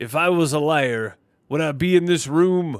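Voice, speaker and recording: Someone performs a put-on character voice at a moderate pace with ordinary pitch variation. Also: man. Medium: game stream. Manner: terse, dry.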